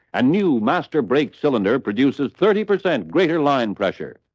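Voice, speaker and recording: A man's medium-pitched voice with vocal fry and very wide pitch swings, at a moderate pace. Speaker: narrator. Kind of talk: vintage dealer training film narration. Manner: upbeat, promotional.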